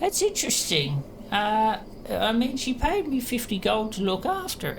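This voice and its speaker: A female-sounding voice does a put-on character at a fairly high pitch. The pace is moderate, with clear background noise behind it. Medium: actual play. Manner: cagey, wheedling.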